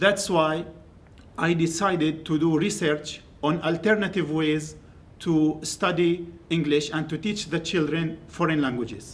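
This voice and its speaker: A man with an Arabic accent speaks at a fairly slow pace in a fairly high voice, his intonation fairly even. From Syria. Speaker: graduate student. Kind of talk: academic presentation. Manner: halting.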